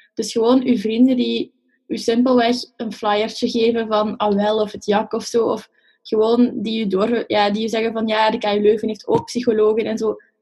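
A woman speaks at a moderate pace in a fairly high, somewhat breathy voice with a dark, mellow tone. Her intonation stays monotone and flat. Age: 20s. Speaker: psychology student. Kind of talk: casual chat.

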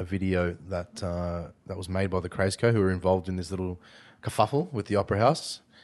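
With music playing in the background, a man with an Australian accent speaks at a fairly low pitch. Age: 30s. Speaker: podcast host. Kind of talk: casual chat. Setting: studio.

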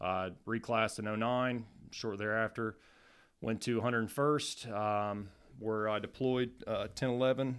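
A man's plain, everyday voice with an American accent, medium in pitch, fairly slow and fairly even in intonation, on a very clean recording with a silent background. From Southern Ohio, US. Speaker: army instructor. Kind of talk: interview.

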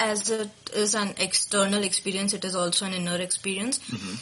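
A woman's medium-pitched voice with fairly even intonation, amid noticeable background noise. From India, Maharashtra (Nagpur). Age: 20s. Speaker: podcast host, guest on culture show. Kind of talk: casual interview.

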